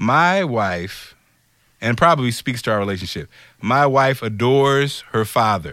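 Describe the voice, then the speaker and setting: A man's bright, sharp voice with an American accent, medium in pitch, fairly slow and lively in intonation, on a very clean recording with a silent background. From US Midwest. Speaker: radio host. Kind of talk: casual interview chat. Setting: studio.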